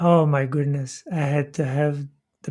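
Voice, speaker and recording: Monotone, flat intonation carries speech in a Quebec accent at a fairly slow pace. Very clean recording, silent background. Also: man. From Quebec, Canada. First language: French. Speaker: podcast host. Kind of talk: casual chat. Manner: clear.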